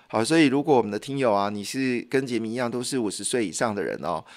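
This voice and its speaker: A man's medium-pitched voice with a Taiwanese accent against a quiet background. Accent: Taiwanese Mandarin. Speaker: radio host. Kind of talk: radio health and news talk monologue. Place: studio. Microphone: studio mic.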